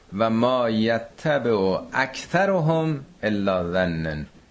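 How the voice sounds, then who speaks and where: Fairly low-pitched male voice with audible room echo. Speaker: Quran teacher. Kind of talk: lecture. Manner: conversational.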